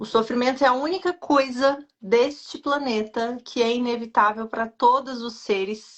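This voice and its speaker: A woman with a Brazilian accent speaks at a high pitch with hardly any pauses. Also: ordinary pitch variation, moderate pace. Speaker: nutritionist. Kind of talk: live stream interview.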